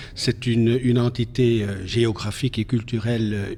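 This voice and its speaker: Speaking at a very slow pace, a man with a Flemish accent keeps a medium pitch and a monotone, flat intonation. Noticeable background noise runs underneath. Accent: Flemish Dutch accent in French. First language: Dutch (speaking French). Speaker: politician. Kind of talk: TV interview. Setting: TV studio. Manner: halting, many hesitations.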